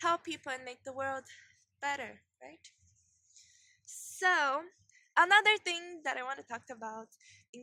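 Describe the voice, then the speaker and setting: A woman with a non-native accent speaks in a bright, sharp tone with lively intonation. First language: not English. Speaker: video blogger. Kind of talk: casual vlog talk. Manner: halting, repeats and restarts words.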